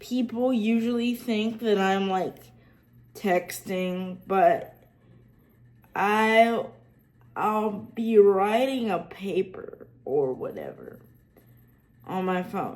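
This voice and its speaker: A woman with a Southern US accent and a fairly high pitch, at a very slow pace with long, frequent pauses. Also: ordinary pitch variation. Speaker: accessibility tech YouTuber. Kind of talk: casual tutorial vlog. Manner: many fillers and restarts.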